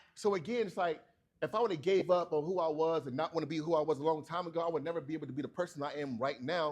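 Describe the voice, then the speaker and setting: Animated and very fast, a man talks in a fairly high pitch with ordinary pitch variation. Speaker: barber and keynote speaker. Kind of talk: keynote speech. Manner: slurs sometimes.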